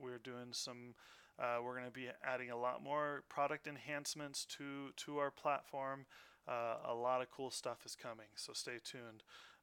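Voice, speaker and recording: A man with a bright, sharp tone and a medium pitch speaks in a monotone, flat intonation at a moderate pace. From Denmark. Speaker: company president. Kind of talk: webinar presentation. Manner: casual, filler-heavy.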